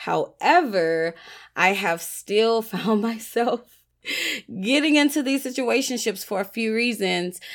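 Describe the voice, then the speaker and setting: A woman speaks in a fairly high pitch with an animated tone and lively intonation. The recording is very clean, with a silent background. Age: 30s. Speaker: podcast host. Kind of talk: casual solo podcast talk. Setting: recording alone late at night.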